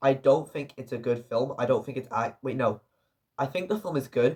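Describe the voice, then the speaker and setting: Somewhat breathy speech proceeds at a moderate pace. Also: man. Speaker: film reviewer. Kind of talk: casual video review. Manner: halting, with self-corrections.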